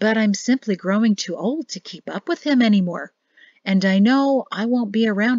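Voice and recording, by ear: The background stays quiet. A natural voice reads aloud, its pitch varying in an ordinary way.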